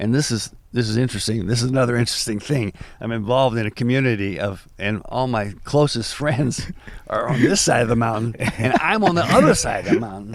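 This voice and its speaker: Over noticeable background noise, a man with an American accent speaks fairly quickly at medium pitch with ordinary pitch variation. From US Midwest. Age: 70s. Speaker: musician. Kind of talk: podcast interview.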